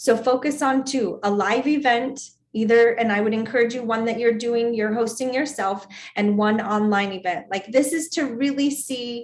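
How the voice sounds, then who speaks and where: A plain, everyday voice with fairly even intonation, at a moderate pace. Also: woman, fairly high pitch for a woman. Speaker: sales team trainer. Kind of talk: training session.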